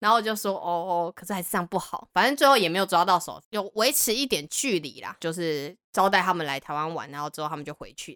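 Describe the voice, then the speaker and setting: A woman's fairly low voice, bright and sharp, with lively intonation, big swings in loudness, a very fast pace and hardly any pauses, in a very clean recording with a silent background. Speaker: podcast guest. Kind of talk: casual chat.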